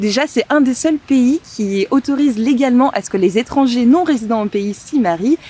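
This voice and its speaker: A woman with a high voice talks at a moderate speed with lively intonation while noticeable background noise plays. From southern France (Montpellier). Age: 20s. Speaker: wedding planner. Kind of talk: casual podcast interview. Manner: hesitant, many fillers.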